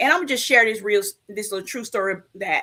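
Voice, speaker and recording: An animated woman's voice with a bright, sharp tone at a fairly quick pace. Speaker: live show co-host and coach. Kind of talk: live show talk, personal testimony. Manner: loud.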